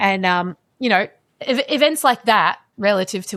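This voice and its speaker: Speaking at a moderate pace, a woman uses a medium pitch. The recording is very clean, with a silent background. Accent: Australian. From Australia, Melbourne. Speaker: climate scientist. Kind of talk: podcast interview.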